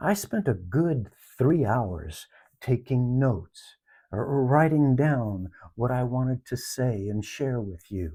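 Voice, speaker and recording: Very slow, lively-intoned speech from a man at a medium pitch, somewhat breathy, with a dark, mellow, calm tone on a very clean recording with a silent background. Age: 70s. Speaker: life reflection vlogger. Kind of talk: personal reflection monologue.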